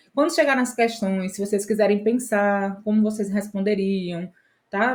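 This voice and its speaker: A woman with a plain, everyday voice speaks at a moderate pace in a medium pitch with fairly even intonation, in a very clean recording with a silent background. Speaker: exam prep teacher. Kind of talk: lecture.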